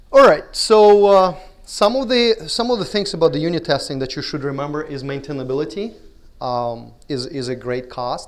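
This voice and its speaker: With a Russian accent, a man speaks at a high pitch with very wide pitch swings. There is audible room echo. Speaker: conference speaker. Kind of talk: conference talk. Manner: halting.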